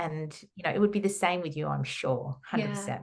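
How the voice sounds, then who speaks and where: The speaker is a woman. She talks with an Australian accent. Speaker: holistic counsellor and trauma therapist. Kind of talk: podcast interview.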